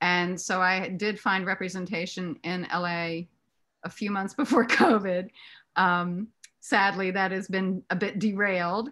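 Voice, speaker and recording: Against a quiet background, a woman with a bright, sharp tone speaks at a fairly slow pace, her medium pitch following a fairly even intonation. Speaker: actress and author; actress. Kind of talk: casual chat. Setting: video call. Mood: warm, smiling. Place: home room. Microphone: video call.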